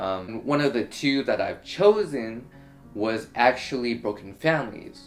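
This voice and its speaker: A medium-pitched man with lively intonation, music playing in the background. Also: fairly slow pace. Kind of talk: casual vlog talk to camera.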